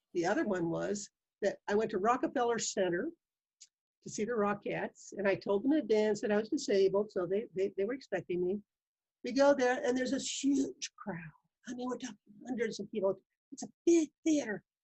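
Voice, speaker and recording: At a fairly quick pace, a woman with a fairly high pitch speaks somewhat breathily and with lively intonation. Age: 70s. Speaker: pulmonary rehab graduate living with lung disease. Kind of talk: interview.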